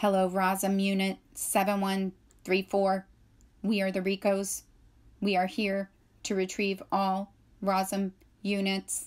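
A put-on robotic character voice that sounds female speaks at a middle pitch and a fairly slow pace, monotone and flat, on a very clean recording with a silent background. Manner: emotionless, mechanical.

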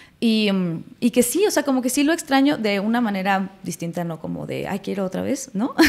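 With lively intonation, the voice moves at a fairly quick pace. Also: woman, fairly high pitch for a woman. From Mexico City and Morelos; Mexico City, Mexico. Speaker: actress. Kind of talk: casual chat. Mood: reflective, personal. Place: studio. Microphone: studio mic.

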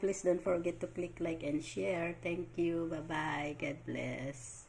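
Pitched fairly low, a woman's voice carries vocal fry and moves at a very slow pace. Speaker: cooking vlogger. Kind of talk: cooking tutorial.

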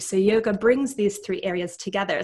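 A woman's moderate-paced speech in a Canadian accent, with ordinary pitch variation and faint music in the background. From Canada. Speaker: clinical psychologist and yoga instructor; yoga instructor. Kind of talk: casual interview. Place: home room.

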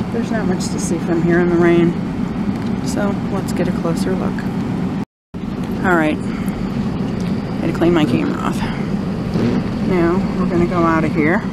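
A woman at a moderate pace, long, frequent pauses, loud background noise. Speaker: local video host. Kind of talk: casual vlog commentary. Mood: wistful, a little spooky. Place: car. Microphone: phone near.

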